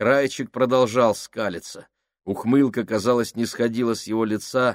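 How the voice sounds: Fairly even intonation from a natural reading voice, set against a quiet background.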